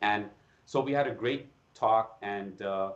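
A man does the talking here. He has an American accent. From Iran. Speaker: facial plastic surgeon and anatomy educator; educator, podcast guest. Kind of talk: interview. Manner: halting, frequent repetitions. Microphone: video call.

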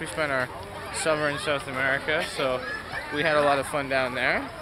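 Over crowd noise in the background, a man speaks at a moderate pace. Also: dry sound with no echo. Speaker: vlogger. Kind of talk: casual vlog chat. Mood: cheerful, relaxed. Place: beach. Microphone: phone near.

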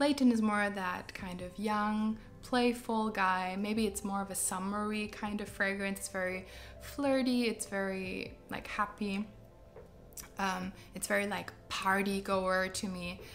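Music plays behind a woman speaking at a fairly slow pace. Her medium-pitched voice keeps a fairly even intonation. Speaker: fragrance reviewer. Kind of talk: casual product review video.

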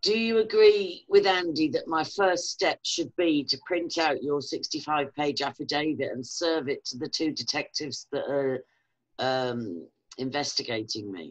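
A woman's very deep, low pitch with lively intonation at a fairly slow pace, against a quiet background. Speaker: online video host. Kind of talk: interview. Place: home room. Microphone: webcam.

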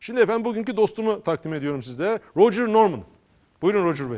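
A man talks at a high pitch. His voice swings very widely up and down. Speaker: local TV talk show host. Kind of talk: casual interview.

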